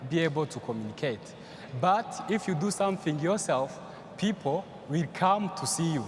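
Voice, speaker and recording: A man with a Rwandan accent, high in pitch, ordinary pitch variation, and noticeable background noise. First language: Kinyarwanda. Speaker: young entrepreneur panelist. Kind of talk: panel discussion. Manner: halting.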